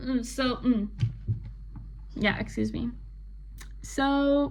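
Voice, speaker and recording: Noticeable background noise and audible room echo accompany a woman speaking very slowly. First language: not English. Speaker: book vlogger. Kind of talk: casual chat. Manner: rambling with fillers.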